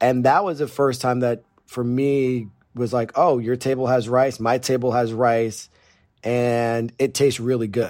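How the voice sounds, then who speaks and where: A man's medium-pitched, ordinary speaking voice with an American accent, at a fairly slow pace with fairly even intonation. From Northeast Pennsylvania. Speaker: chef. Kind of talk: casual chat. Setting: remote, in the Bahamas.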